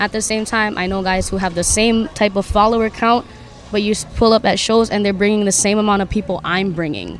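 This woman talks fairly quickly with a Hawaiian accent. Her pitch is medium. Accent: Hawaii local English. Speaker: hip hop artist and teacher. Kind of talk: casual interview. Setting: recorded at a marketplace. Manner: animated.

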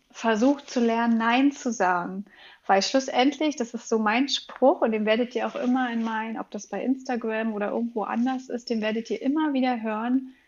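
Speaking at a moderate pace, a woman uses a fairly high pitch with fairly even intonation. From Berlin. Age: 30s. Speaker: parenting coach and yoga trainer. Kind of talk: interview conversation. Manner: hesitant, many filler sounds.

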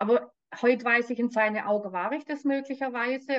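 Moderate pace and fairly even intonation from a woman with a plain, everyday voice, fairly high in pitch. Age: 60s. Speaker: spiritual coach and medium. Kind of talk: personal testimony interview.

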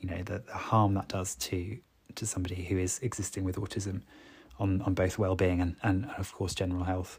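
A man speaks at a fairly quick pace with a very deep, low pitch. His voice is somewhat breathy, and his intonation stays fairly even. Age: 30s. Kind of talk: solo podcast monologue. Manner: halting, with filler words and repetitions.

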